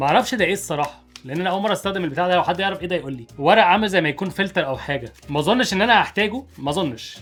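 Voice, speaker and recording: A very fast man with an Egyptian accent and ordinary pitch variation, over noticeable background noise. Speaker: YouTuber, product reviewer. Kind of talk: product unboxing and tutorial. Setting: home office at desk. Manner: casual, conversational.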